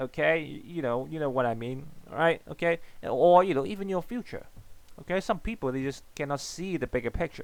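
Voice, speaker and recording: A man with a non-native accent talks at a fairly quick pace. His intonation is lively. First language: not English. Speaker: economics teacher. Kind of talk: lecture. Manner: halting, many fillers and repetitions.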